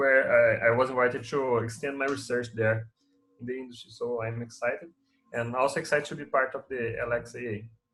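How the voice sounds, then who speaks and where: A man with a Portuguese accent speaks at a fairly quick pace. His medium-pitched voice has a bright, sharp tone and fairly even intonation. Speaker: machine learning researcher. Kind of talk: self-introduction.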